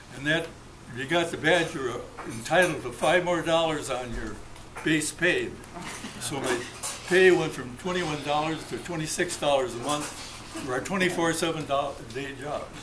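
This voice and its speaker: A man's fairly high voice with ordinary pitch variation, long and frequent pauses, audible room echo and noticeable background noise. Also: moderate pace. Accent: American. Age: 80s+. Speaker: war veteran. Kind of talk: birthday speech. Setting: restaurant party with audience. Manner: halting.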